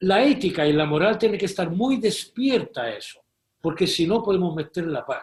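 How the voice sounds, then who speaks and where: A high-pitched man with lively intonation at a moderate pace. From Malta. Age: 70s. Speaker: moral theologian, professor. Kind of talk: interview.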